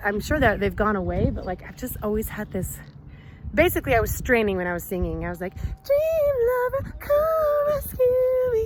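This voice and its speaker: Her loudness swings a lot as a woman speaks at a moderate pace. Noticeable background noise runs underneath. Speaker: vlogger. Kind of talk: casual chat.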